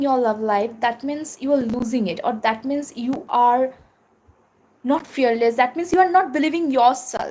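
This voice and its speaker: The speaker has a Bengali accent. The pace is fairly slow. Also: woman. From India. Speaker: tarot reader. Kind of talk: live tarot reading. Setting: livestream. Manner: halting, many fillers.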